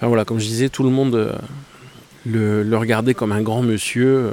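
A man's medium-pitched voice keeps fairly even intonation and a moderate pace. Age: 40s. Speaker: photography podcaster. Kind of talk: casual monologue. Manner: hesitant with many fillers.

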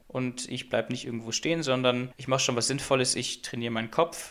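Fairly even intonation from a man's medium-pitched voice at a very fast pace. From Göttingen, Lower Saxony, Germany. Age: 20s. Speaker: physics student and student club chair. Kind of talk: casual interview chat.

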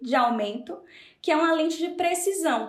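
Audible room echo surrounds a woman's high-pitched voice. She moves at a fairly quick pace with lively intonation. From Brazil, Salvador (Bahia). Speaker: nutritionist. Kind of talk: interview. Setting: video call.

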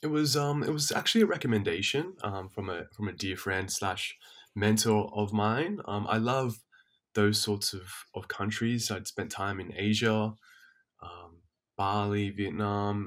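In a very clean recording with a silent background, a man with an Australian accent speaks fairly slowly and fairly low, with ordinary pitch variation. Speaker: teacher and men's health advocate. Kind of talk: casual interview chat.

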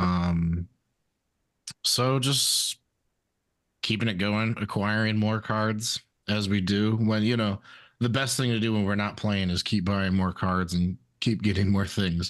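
A man talks at a fairly slow pace with long, frequent pauses. His loudness is very even, and the background is quiet. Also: fairly low pitch for a man. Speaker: podcast co-host. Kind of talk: casual chat. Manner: animated.

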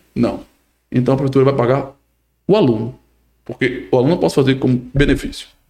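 Speaking at a fairly quick pace with long, frequent pauses, a man uses a medium pitch and a dark, mellow tone, somewhat breathy, with very even loudness. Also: ordinary pitch variation. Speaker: podcast co-host and municipal government official. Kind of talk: casual interview chat.

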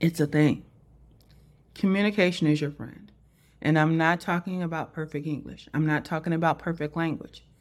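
On a very clean recording with a silent background, a woman with a very deep, low pitch talks at a moderate pace with fairly even intonation. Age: old. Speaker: personal branding coach and podcast host. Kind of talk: solo podcast monologue. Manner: casual, conversational.

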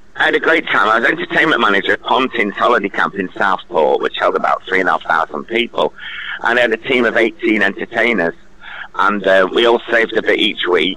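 Noticeable background noise runs behind the recording. A man speaks at a very fast pace. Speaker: entertainer. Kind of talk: interview. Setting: phone call. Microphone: bad signal, echo.

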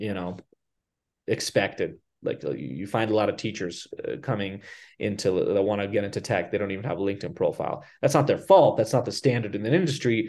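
An ordinary speaking voice with an American accent moves at a fairly quick pace with ordinary pitch variation. The background is quiet. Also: man. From US, raised from age nine; born abroad. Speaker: professor and career educator. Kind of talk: casual interview conversation. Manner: conversational, uses fillers.

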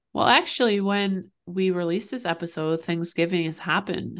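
Over a quiet background, a woman uses a plain, everyday voice at medium pitch, keeping a moderate pace and ordinary pitch variation. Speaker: podcast co-host. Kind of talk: casual chat. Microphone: new microphone.

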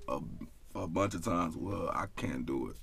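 Animated and bright, sharp in tone, a man speaks at a moderate pace with vocal fry and ordinary pitch variation. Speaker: podcast guest. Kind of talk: casual chat. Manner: animated, profane.

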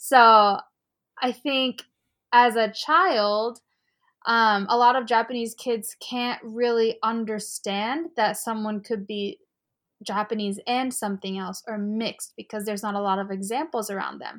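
In a very clean recording with a silent background, a woman with an American accent uses a normal speaking voice at a fairly high pitch, speaking at a fairly slow pace with fairly even intonation and big swings in loudness. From United States. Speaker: community organization founder. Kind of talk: casual interview conversation.

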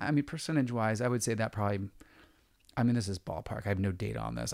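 Very fast speech comes from a man with an American accent and a medium pitch. The recording is very clean, with a silent background. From San Diego, California. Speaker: real estate agent. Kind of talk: interview.

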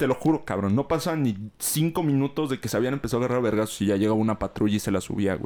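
A man with a Mexican accent, very fast speech and very wide pitch swings, on a very clean recording with a silent background. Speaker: podcast host. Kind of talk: casual chat.

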